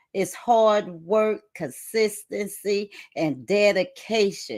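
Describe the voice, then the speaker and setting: Speaking at a very slow pace in a Southern US accent, a woman with a medium-pitched voice is heard on a very clean recording with a silent background. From South Carolina. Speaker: co-host, network marketer. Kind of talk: live stream talk. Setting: livestream.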